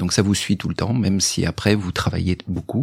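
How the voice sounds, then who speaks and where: In a dry, close recording with no echo, a man speaks in a plain, everyday voice at a fairly quick pace and a fairly low pitch. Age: 50s. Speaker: sales director, father of the guest. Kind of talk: interview testimony.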